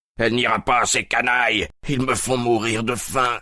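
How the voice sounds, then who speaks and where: Using a put-on character voice, a man speaks in a raspy, monotone, flat way at a medium pitch and moderate pace, his loudness very even. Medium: read story.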